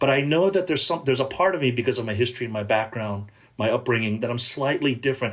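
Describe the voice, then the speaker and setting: A man with an American accent talks at a very fast pace in a medium pitch, somewhat breathy, with lively intonation. The recording is very clean, with a silent background. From Southern California, Korean American. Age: 50s. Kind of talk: podcast interview. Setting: podcast recording.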